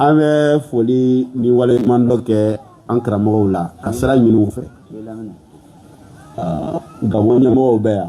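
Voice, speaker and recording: Speaking at a very slow pace with long, frequent pauses, a man uses a medium pitch and ordinary pitch variation against noticeable background noise. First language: Malinke (speaking French). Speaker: Islamic lecturer. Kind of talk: religious lecture. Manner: halting.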